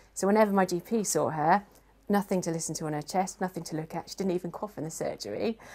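Fast-paced, a woman speaks with fairly low pitch, ordinary pitch variation, and a dark, mellow tone.

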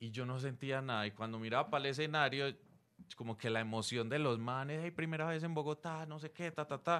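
Using a normal speaking voice, a man talks at a fairly quick pace and a fairly high pitch, with ordinary pitch variation. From Colombia. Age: 40s. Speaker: stand-up comedian. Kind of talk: casual interview. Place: studio. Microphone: studio mic.

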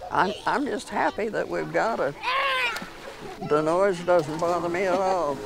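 Over loud background noise, a woman speaks at a fairly slow pace with long, frequent pauses, the sound dry with no echo. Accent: American. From Kansas, USA. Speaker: retired community fundraiser. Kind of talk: interview answer. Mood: contented, gentle. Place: garden.

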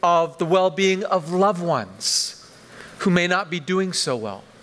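Here a man talks at a fairly slow pace, his pitch high for a man. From western Canada, Vancouver. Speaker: pastor. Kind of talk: sermon. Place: church. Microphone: headset.

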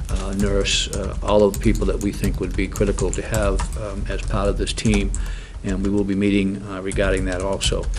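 The pace is moderate, and there is noticeable background noise. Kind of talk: meeting report. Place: meeting room. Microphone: podium.

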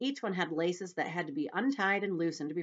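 With lively intonation, the speaker reads in a natural reading voice.

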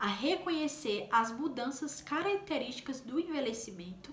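A woman's high voice with lively intonation, audible room echo and light background noise. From Brazilian Northeast, Paraíba. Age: 20s. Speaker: nursing technician and vlogger; nursing technician youtuber. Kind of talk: explanatory vlog talk; tutorial. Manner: casual, many fillers. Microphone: phone near.

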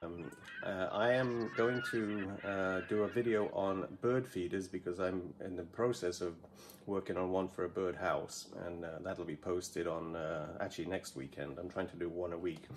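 Over light background noise, a man with a very deep, low pitch speaks at a moderate pace with ordinary pitch variation. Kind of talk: tutorial. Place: workshop. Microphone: phone near.

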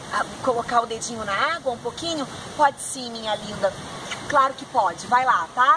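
A woman speaks in a high pitch with ordinary pitch variation. There is noticeable background noise. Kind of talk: acted dialogue for a kids' video.

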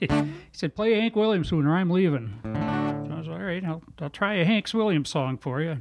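Over clear music in the background, a man with a high pitch speaks at a fairly quick pace. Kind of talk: storytelling between songs. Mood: relaxed, good-humored. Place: home room. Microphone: studio mic.

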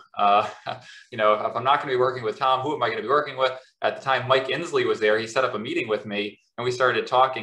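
With audible room echo, a man talks at a very fast pace. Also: quiet background. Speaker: professor. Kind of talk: academic interview and Q&A. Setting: video call. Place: home room. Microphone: webcam.

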